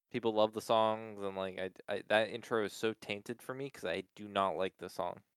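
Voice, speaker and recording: An ordinary speaking voice moves at a moderate pace with hardly any pauses and fairly even intonation. The sound is dry and close, with no echo. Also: man, fairly low pitch for a man. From Pennsylvania, US. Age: 20s. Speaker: podcast co-host. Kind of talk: casual chat.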